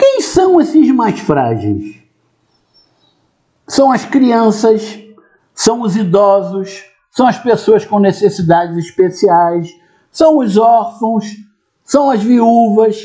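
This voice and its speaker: A dark, mellow tone with lively intonation, a very slow pace and long, frequent pauses. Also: man, high pitch for a man. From Brazil. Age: 60s. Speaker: retired police colonel, commentator. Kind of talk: video commentary monologue.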